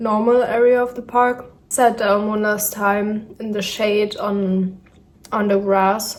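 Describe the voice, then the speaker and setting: Amid audible room echo, a woman with a German accent speaks very slowly in a fairly high, monotone, flat voice. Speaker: vlogger. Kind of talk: casual vlog narration. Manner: hesitant with fillers.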